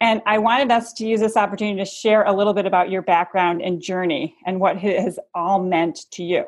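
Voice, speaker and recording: Against a quiet background, a woman speaks in an unremarkable speaking voice. Her pitch is medium with ordinary variation. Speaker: company executive acting as interviewer. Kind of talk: interview questions.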